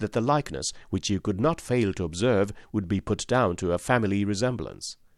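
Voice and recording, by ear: Someone is reading aloud in a natural voice. Pitch variation is ordinary.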